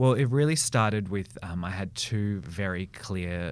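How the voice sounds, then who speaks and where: With an Australian accent, a man speaks in a very deep, low voice whose intonation rises and falls in a lively way. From Melbourne, Australia. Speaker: brand and marketing strategist. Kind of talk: interview.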